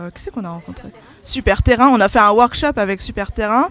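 This woman speaks with a fairly high pitch. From Alsace. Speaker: graphic design student. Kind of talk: interview. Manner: hesitant.

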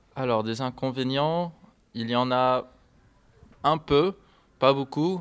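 A man speaks with an English accent. His pace is very slow. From US, Miami, Florida. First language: English (speaking French). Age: 20s. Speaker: English language assistant. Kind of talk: interview. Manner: halting.

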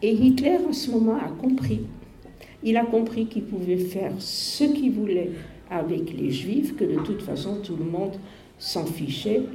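Over noticeable background noise and audible room echo, a woman speaks at a fairly slow pace with very wide pitch swings. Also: medium pitch for a woman. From Netherlands, Amsterdam. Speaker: Holocaust survivor. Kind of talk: testimony. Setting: school talk to pupils. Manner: halting.

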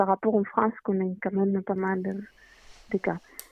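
The speaker has a Greek accent. The pace is fairly slow. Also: woman. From Greece, Athens. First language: Greek (speaking French). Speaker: interviewee from Greece. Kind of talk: casual interview. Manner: halting.

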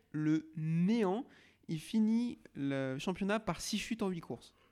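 The recording is very clean, with nothing audible in the background. A man talks very slowly, his intonation lively. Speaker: podcast host. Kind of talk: casual chat. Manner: loud.

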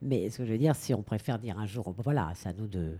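Lively intonation and a fairly quick pace mark this woman's dark, mellow tone. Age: 50s. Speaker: actress and stage director. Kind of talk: radio interview.

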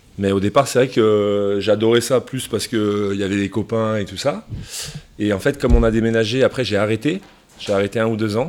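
Fairly even intonation and fairly low pitch in a man's normal speaking voice. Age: 30s. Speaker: professional rugby player. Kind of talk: interview answers to school pupils.

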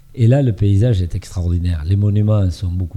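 Dark and mellow in tone, the voice is somewhat breathy. Delivery is fairly slow, with ordinary pitch variation. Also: man. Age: 70s. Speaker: reality TV contestant. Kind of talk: interview. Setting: studio with small audience. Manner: halting.

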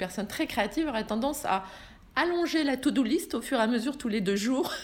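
A woman talks at a fairly quick pace in a high pitch, her intonation lively. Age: 50s. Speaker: author and business mentor. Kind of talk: interview testimony.

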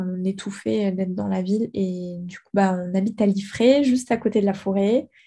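On a very clean recording with a silent background, a woman with a medium pitch and a dark, mellow, somewhat breathy tone speaks with fairly even intonation. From Guadeloupe. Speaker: ceramicist and architect. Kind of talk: interview.

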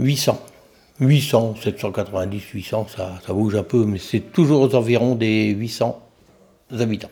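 Very slow and dark, mellow in tone, a man speaks with long, frequent pauses. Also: medium pitch for a man, ordinary pitch variation. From French Flanders, Nord. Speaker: deputy mayor. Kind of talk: interview.

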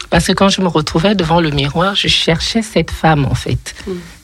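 The woman's fairly low voice, which varies in pitch in an ordinary way, comes through noticeable background noise. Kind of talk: casual chat. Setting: studio. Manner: halting.

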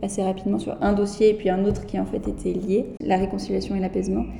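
Speech at a fairly quick pace comes through audible room echo and noticeable background noise. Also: woman. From France, Berry. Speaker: political science doctoral researcher. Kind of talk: interview. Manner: halting.

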